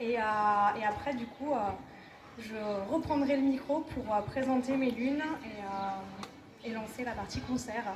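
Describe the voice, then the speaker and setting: Noticeable background noise surrounds a woman's high voice. She speaks at a fairly slow pace with ordinary pitch variation. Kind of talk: event introduction.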